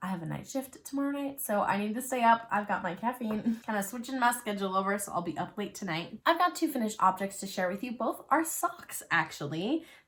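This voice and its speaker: A woman talks at a fairly quick pace with hardly any pauses, her fairly high pitch making very wide swings over noticeable background noise. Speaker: knitting and crochet podcaster. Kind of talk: casual chat. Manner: chatty.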